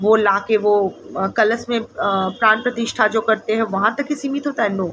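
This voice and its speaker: A woman at a moderate pace with a slight non-native accent, fairly high pitch, ordinary pitch variation and noticeable background noise. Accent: slightly non-fluent Hindi. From India, Bengal. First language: Bengali (speaking Hindi). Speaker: tarot reader. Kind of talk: casual spiritual talk to camera. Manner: hesitant, many fillers.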